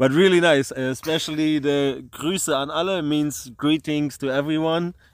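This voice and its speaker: Speaking at a fairly slow pace, a man with a German accent has a fairly high pitch. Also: fairly even intonation. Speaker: podcast host, round-the-world cyclist. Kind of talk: casual chat. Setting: outdoors at a tent camp.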